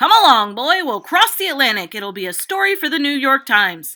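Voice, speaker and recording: Doing a put-on character voice, a woman goes fairly quickly at a high pitch with very wide pitch swings. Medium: read story.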